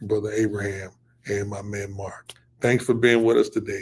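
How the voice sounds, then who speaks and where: Somewhat breathy, a man speaks at a medium pitch. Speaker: pastor and fundraising coach. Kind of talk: live stream teaching. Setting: live online broadcast. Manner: stuttering at times; casual, repetitive.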